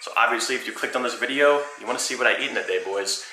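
Very fast speech from a man comes with audible room echo and light background noise. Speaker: fitness vlogger. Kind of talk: casual vlog chat. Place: home room. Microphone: phone near.

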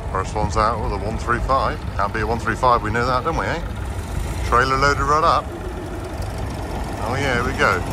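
Loud background noise accompanies a man talking at a fairly quick pace, his sound dry with no echo. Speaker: tractor enthusiast vlogger. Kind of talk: casual vlog commentary. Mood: enthusiastic, admiring. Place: street. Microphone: phone near.

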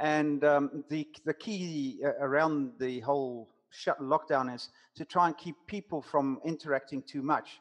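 A man talks at a fairly slow pace in a fairly high voice, with a South African accent. The background is quiet. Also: fairly even intonation. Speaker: business coach. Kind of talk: casual interview. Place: home room. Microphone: headset.

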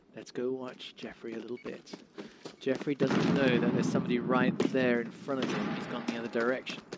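A man with a medium pitch speaks in an animated tone at a fairly quick pace. Noticeable background noise runs behind him. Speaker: esports commentator. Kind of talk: live esports commentary. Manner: animated play-by-play, quick; explains gameplay to viewers, conversational.

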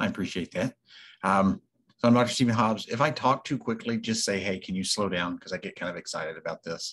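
Talking at a fairly quick pace, a man with a low pitch has a fairly bright tone, a slightly husky edge and ordinary pitch variation.

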